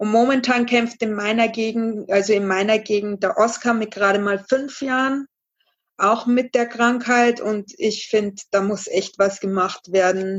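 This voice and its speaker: An unremarkable speaking voice from a woman, fairly high in pitch, with fairly even intonation and a fairly slow pace. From Bavaria, Regensburg. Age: 30s. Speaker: charity fundraiser. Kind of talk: podcast interview.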